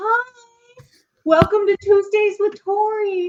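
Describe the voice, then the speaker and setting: A put-on character voice from a woman, extremely high-pitched and fairly slow. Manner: silly, cute.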